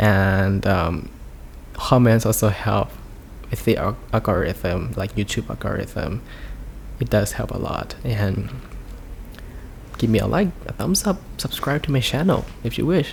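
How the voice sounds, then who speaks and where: A man with a Thai accent at a fairly slow pace, long, frequent pauses and noticeable background noise. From Thailand. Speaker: YouTuber. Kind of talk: casual storytime vlog. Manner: halting, many fillers.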